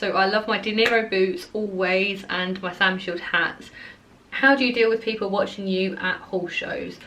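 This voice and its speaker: Someone with an Essex accent speaks at a moderate pace, with audible room echo and noticeable background noise. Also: woman. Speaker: equestrian vlogger. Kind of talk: casual Q&A vlog. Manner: animated, chatty with fillers.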